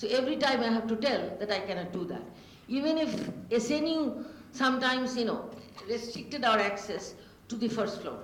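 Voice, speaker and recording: This woman has a fairly high pitch, ordinary pitch variation and a fairly quick pace. Noticeable background noise and audible room echo fill the recording. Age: 70s. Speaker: panel speaker. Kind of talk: panel talk.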